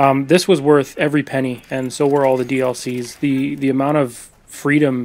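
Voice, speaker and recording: Quiet and monotone, a man talks at a medium pitch and a moderate pace with flat intonation. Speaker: video game reviewer. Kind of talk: voice-over game review. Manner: quiet, subdued.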